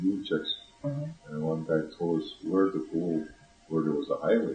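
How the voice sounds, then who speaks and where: Against music in the background, a man speaks at a fairly slow pace. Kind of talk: interview answer. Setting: home cassette recording. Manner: hesitant.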